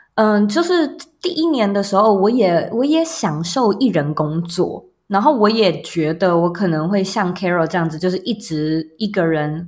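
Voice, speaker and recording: Her intonation lively, a woman at a medium pitch talks at a fairly slow pace in a plain, everyday voice. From Taiwan, Taipei. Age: 30s. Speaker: entrepreneur and podcaster. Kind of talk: interview.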